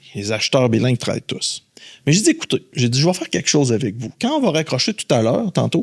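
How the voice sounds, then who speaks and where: In a Quebec accent, a man talks at a very fast pace in an animated tone, with big swings in loudness and a dry, close sound with no echo. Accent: Québécois French. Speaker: headhunter. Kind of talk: podcast interview. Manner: animated storytelling.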